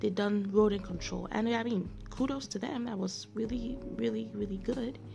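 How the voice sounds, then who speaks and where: At a moderate pace and with hardly any pauses, a woman speaks amid noticeable background noise and audible room echo. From Nigeria. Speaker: podcast host. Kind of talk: casual monologue. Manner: halting.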